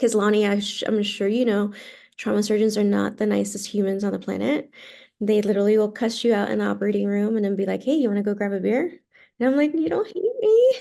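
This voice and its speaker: Over a quiet background, a woman with a Spanish accent talks at a very fast pace. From Puerto Rico, moved to Texas at ten. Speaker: physician assistant and aesthetic injector. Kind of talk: podcast interview. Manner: animated.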